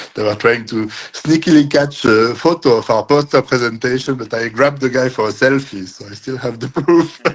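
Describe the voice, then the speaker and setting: A fairly quick pace in a French accent, with hardly any pauses and ordinary pitch variation. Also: man, medium pitch for a man. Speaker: cryptography entrepreneur. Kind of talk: interview. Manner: hesitant with frequent fillers.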